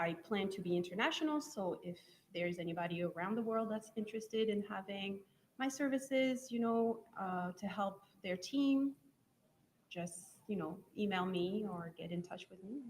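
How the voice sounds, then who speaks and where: A woman speaks at a medium pitch and a moderate pace, somewhat breathy, with ordinary pitch variation. Her pauses are long and frequent. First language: French. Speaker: software testing trainer. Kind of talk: live event interview.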